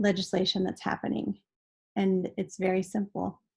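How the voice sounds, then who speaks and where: A woman speaks at a medium pitch. Her voice is somewhat breathy. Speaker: advocacy volunteer. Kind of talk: webinar presentation. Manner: fast.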